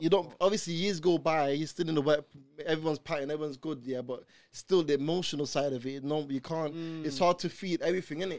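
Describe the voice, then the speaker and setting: A man speaks very fast in a London accent. His pitch is fairly high and his intonation fairly even. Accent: London multicultural English. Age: 20s. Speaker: podcast guest. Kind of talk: casual chat.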